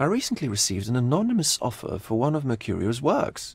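In a very clean recording with a silent background, a man puts on a character voice with a slightly husky edge. His medium pitch swings very widely at a fairly quick pace.

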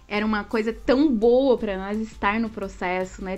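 A woman speaks with ordinary pitch variation. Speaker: interviewee. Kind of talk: interview answer. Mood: cheerful, laughing often. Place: home room. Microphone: earbuds.

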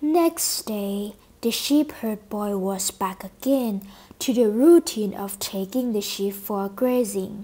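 With a dark, mellow tone and a slightly husky edge, a woman talks at a slow pace using ordinary pitch variation.

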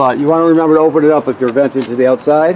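A man is speaking. His pitch variation is ordinary, and noticeable background noise is present. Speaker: RV dealer salesperson. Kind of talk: walkthrough tutorial. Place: street. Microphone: phone near.

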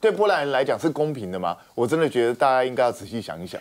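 Over a quiet background, a man speaks at a fairly quick pace. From Taiwan. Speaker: talk show guest commentator. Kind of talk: TV panel discussion. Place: studio.

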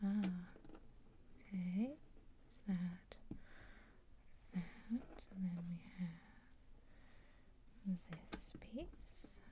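Soft-spoken and very slow, the speech is broken by long, frequent pauses over noticeable background noise. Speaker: ASMR creator. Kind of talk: soft-spoken ASMR, casual talk while doing a puzzle. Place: home room.

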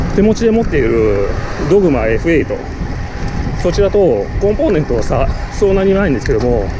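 The sound is dry with no echo, the pace is moderate, and noticeable background noise is present. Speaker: cyclist vlogger. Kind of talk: casual vlog chat. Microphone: camera far.

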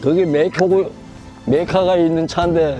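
A man speaks at a very slow pace with a high pitch. Music plays in the background. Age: 80s+. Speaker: retired driver. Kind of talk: interview answer. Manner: plain, unpolished speech.

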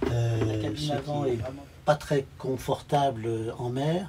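A man talks at a fairly slow pace with ordinary pitch variation. Music plays in the background. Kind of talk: casual tour commentary. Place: boat.

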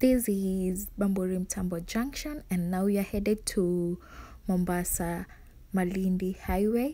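Speaking at a fairly slow pace, a woman has a dark, mellow tone and ordinary pitch variation. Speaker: vlogger. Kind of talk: casual travel vlog narration. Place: car. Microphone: phone near.

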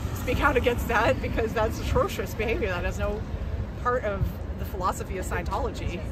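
A woman talks at a very fast pace. The sound is dry with no echo, over loud background noise. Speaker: former Scientology member, protester. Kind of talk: casual interview at a protest. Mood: earnest, indignant. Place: street. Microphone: phone near.

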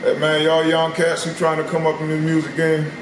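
A man speaks at a moderate pace in a fairly high pitch. Noticeable background noise can be heard. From South Carolina. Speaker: rapper. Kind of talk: interview. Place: shop. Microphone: camera far.

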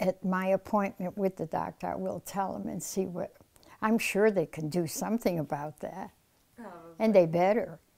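With a dark, mellow tone and vocal fry, the voice moves at a moderate pace, showing ordinary pitch variation and big swings in loudness. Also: woman, medium pitch for a woman. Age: 80s+. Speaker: interviewee, first-time blood donor. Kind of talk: interview answer. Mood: warm, animated reminiscing. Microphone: lapel.

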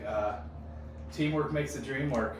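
Noticeable background noise and audible room echo around a male voice. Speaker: remodeling contractor. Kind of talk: walkthrough tour commentary. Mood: proud, enthusiastic. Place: bathroom.

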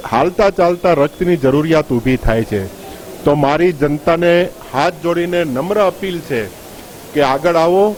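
A man's high voice, with ordinary pitch variation, comes through noticeable background noise. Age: 60s. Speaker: volunteer organisation head. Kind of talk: news interview statement.

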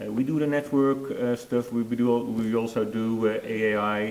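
With audible room echo around him, a man speaks in a Dutch accent. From Netherlands. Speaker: network product manager; conference presenter. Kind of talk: conference presentation. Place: hall. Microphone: lapel.

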